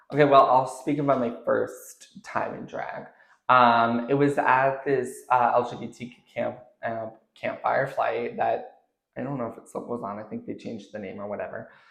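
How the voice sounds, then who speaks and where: A man speaks with a western Canadian accent at a moderate pace. His loudness swings a lot. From Canada, Jasper, Alberta. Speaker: drag performer. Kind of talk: casual interview chat. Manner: animated.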